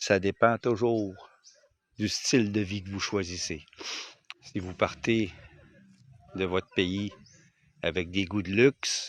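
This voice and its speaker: A man with a fairly low voice speaks very slowly and with fairly even intonation, leaving long, frequent pauses, and the sound is dry and close with no echo. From Quebec. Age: 60s. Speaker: retired expat vlogger. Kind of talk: casual vlog talk to camera. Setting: outdoors on his land. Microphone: phone microphone.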